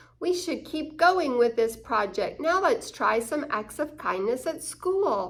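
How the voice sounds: A woman's put-on character voice, high-pitched and slow, with big pitch swings.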